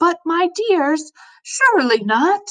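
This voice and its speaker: Putting on a squeaky character voice, a woman pitches extremely high and makes very wide pitch swings. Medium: read story. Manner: sweet, coaxing, formal.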